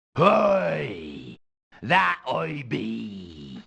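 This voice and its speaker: This man puts on a character voice that is raspy. His pitch is very deep and low. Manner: mock-swashbuckling, exaggerated.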